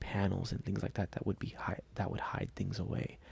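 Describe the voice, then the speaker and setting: Soft-spoken, a man talks at a very deep, low pitch with vocal fry. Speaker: toy collector YouTuber. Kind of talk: soft-spoken ASMR talk. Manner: halting with fillers.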